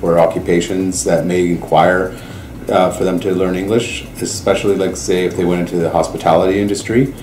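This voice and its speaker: With a Canadian accent and a very deep, low pitch, a man speaks at a moderate pace with ordinary pitch variation, amid noticeable background noise and audible room echo. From Canada. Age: 40s. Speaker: host family parent. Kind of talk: interview testimony.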